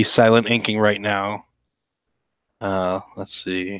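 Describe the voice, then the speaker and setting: The voice is quiet, with a relaxed tone. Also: man. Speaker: cartoonist livestreaming drawing. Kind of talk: casual livestream chat while drawing. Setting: home livestream. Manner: hushed, keeping voice quiet; relaxed, hesitant with many fillers.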